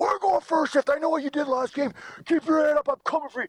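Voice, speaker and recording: A man puts on a character voice at an extremely high pitch and talks at a very fast pace. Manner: menacing, taunting.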